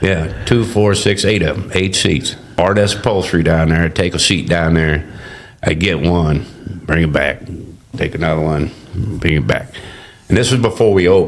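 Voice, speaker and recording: Noticeable background noise surrounds a man whose very deep, low voice is broken by long, frequent pauses. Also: ordinary pitch variation, moderate pace. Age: 60s. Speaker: barbecue restaurant owner. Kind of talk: casual interview. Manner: halting, lots of fillers and self-corrections.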